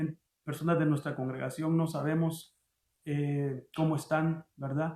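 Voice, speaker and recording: A man speaks here. His pitch sits fairly high for a man. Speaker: pastor. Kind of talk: sermon. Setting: online livestream. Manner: halting.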